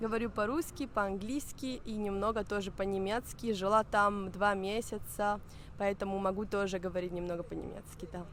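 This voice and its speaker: This woman's medium-pitched voice holds a fairly even intonation as she talks at a moderate pace. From Barcelona, Spain. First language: Spanish, Italian, Catalan (speaking Russian). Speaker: language learner. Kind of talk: interview.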